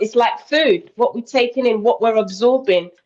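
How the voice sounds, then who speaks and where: A woman speaks with a British accent. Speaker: interview guest on weight loss. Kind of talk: casual interview chat.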